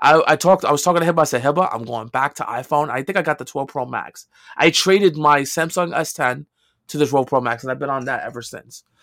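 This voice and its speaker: A man with a New York accent speaks at a very fast pace. His pitch is fairly high, with ordinary variation. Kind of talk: casual chat.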